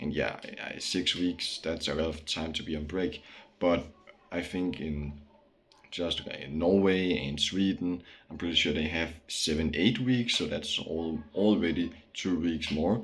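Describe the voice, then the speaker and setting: A man's very deep, low voice in a Danish accent, at a fairly slow pace, with ordinary pitch variation. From Denmark. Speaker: vlogger. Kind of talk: casual monologue. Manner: halting, many fillers.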